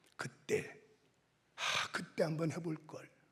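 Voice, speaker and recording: A man's voice with vocal fry, at a very slow pace. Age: 60s. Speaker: pastor, revival preacher. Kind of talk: sermon. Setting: church. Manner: animated.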